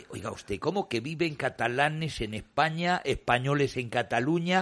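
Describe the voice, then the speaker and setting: A man speaks in a normal speaking voice, fairly high in pitch. The background is quiet. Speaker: radio host standing in for the director. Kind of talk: radio talk show panel discussion.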